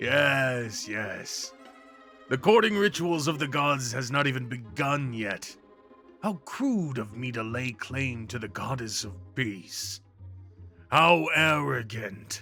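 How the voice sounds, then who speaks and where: A man puts on a guttural character voice at a medium pitch, speaking fairly slowly. Clear music plays in the background. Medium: audio drama. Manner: warm, teasing, frequent laughter.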